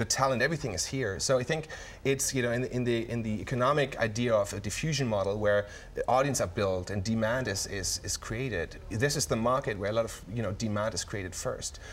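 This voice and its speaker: Somewhat breathy, a man with a German accent speaks very fast at a medium pitch with ordinary pitch variation. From Germany. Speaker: tech company CEO. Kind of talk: TV interview. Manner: halting, many fillers and repetitions.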